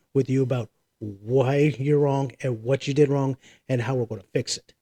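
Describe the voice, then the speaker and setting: A man speaks at a moderate pace and medium pitch, somewhat breathy, with a dark, mellow tone. The sound is dry and close, with no echo. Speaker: army veteran. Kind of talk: casual chat.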